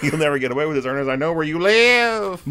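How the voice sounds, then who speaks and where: Putting on a character voice, a man rattles along at a very fast pace with a fairly high pitch. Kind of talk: casual podcast chat, quoting a movie line. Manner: threatening.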